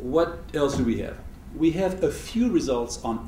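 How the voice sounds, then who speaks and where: Audible room echo surrounds the man who is talking. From Switzerland. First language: not English. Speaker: economist, university lecturer. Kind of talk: lecture.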